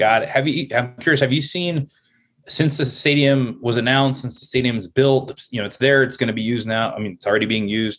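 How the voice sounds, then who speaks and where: A man with an American accent talks fairly quickly in a normal speaking voice, with ordinary pitch variation. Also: medium pitch for a man. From Los Angeles, Southern California. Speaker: podcast guest, real estate and sports writer. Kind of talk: casual interview conversation.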